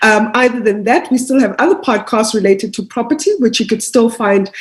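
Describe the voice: Speaking at a fairly quick pace, a woman uses a fairly high pitch with ordinary pitch variation.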